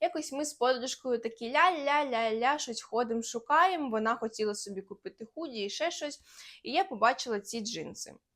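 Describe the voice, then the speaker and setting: A woman's high-pitched voice at a moderate pace, with lively intonation and big swings in loudness, on a very clean recording with a silent background. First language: Russian (speaking Ukrainian). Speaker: lifestyle vlogger. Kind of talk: casual haul vlog.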